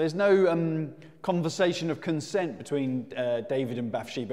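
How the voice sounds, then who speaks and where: Over a quiet background, a man's voice swings very widely in pitch. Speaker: preacher. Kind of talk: sermon. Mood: conversational, occasional laughs. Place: hall. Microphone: lapel.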